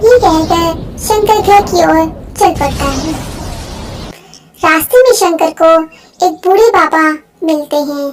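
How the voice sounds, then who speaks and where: A squeaky, cartoonish character voice moves at a fairly slow pace. It leaves long, frequent pauses. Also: woman, extremely high pitch for a woman. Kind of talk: moral story narration.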